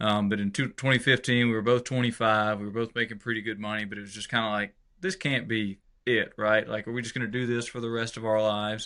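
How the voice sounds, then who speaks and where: With an American accent, a man talks at a very fast pace at medium pitch, keeping his intonation fairly even. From Georgia, US South. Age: 30s. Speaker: country musician. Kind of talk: interview. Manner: casual, hesitant with fillers.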